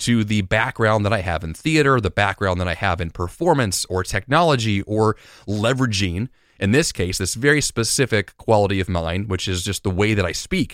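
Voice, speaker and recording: On a very clean recording with a silent background and a dry, close sound with no echo, a man with a fairly low pitch talks at a fairly quick pace in an energetic tone with lively intonation. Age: 30s. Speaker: podcast host. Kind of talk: solo motivational monologue. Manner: energetic, motivational.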